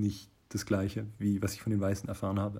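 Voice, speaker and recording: On a very clean recording with a silent background, a man's fairly low voice comes across dark, mellow and somewhat breathy. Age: 30s. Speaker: listener submission. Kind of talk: testimony. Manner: halting.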